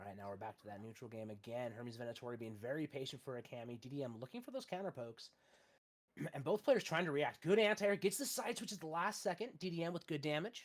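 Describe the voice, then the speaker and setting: A fairly high-pitched man at a very fast pace, with very wide pitch swings and big swings in loudness. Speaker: esports commentator. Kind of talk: live commentary. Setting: livestream.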